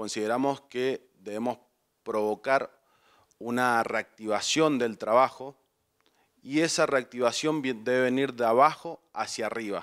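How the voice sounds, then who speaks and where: A man talks fairly slowly, his intonation fairly even, and the background is quiet. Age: 30s. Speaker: lawyer and political candidate; candidate. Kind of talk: campaign interview speech. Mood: earnest, persuasive. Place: studio. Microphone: handheld.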